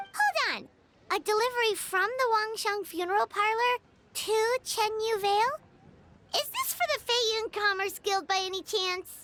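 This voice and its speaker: Moderate pace in a put-on character voice, pitched extremely high. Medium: video game. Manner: chatty, excitable.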